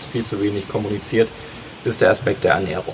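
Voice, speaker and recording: Man with noticeable background noise. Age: 20s. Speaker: osteopath. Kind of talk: casual interview. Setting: outdoors in a garden.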